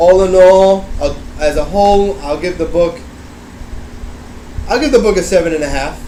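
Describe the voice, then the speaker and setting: A man with a high pitch speaks at a moderate pace, leaving long, frequent pauses. Noticeable background noise and audible room echo fill the recording. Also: ordinary pitch variation. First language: not English. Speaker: book reviewer. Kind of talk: casual chat. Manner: halting.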